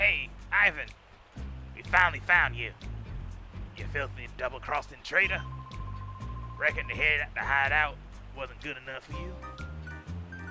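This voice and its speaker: Clear music plays behind a man doing a put-on, raspy character voice with a very deep, low pitch. He keeps a moderate pace with long, frequent pauses. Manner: accusing, menacing.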